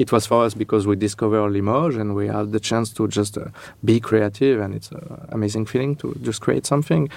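The man's pitch is medium, with ordinary variation. He talks at a fairly quick pace. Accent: French. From France. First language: French. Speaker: architect. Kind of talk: interview. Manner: halting.

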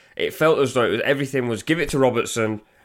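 Talking at a very fast pace, a man is heard in a very clean recording with a silent background. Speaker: podcast host. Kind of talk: casual chat.

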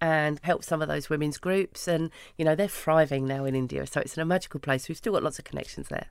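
In a London accent, the speaker talks at a very fast pace with ordinary pitch variation, on a very clean recording with a silent background. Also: woman. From London, Hackney. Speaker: founder of a women's networking business. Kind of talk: interview.

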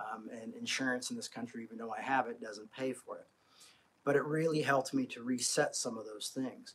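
Speaking at medium pitch and a fairly quick pace, a man has a fairly bright tone, a slightly husky edge and fairly even intonation.

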